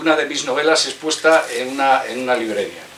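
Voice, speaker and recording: Noticeable background noise sits under the audio. Over it, a man talks. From Spain, León province. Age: 60s. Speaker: author. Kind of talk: book presentation speech. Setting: bookstore event with audience. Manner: halting, many fillers.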